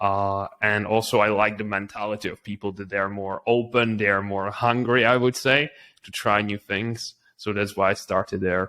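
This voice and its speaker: This man speaks with a Czech accent at a fairly low pitch and a moderate pace. His tone is bright and sharp, and his intonation is monotone and flat. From Czech Republic. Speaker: entrepreneur. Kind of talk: interview.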